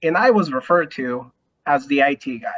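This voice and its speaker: A moderate pace in a Spanish accent. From Mexico. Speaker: lawyer. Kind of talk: panel discussion.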